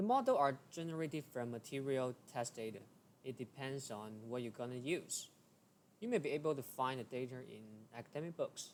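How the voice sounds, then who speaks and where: A man with a non-native accent speaks at a fairly quick pace, his medium pitch showing ordinary variation. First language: not English. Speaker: engineering tutorial creator. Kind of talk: tutorial.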